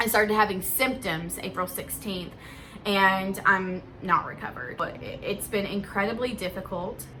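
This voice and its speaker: A woman speaks at a moderate pace with a medium pitch and ordinary pitch variation. Her loudness swings widely, and the room echo is audible. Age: 20s. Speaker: vlogger. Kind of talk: casual vlog monologue. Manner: halting.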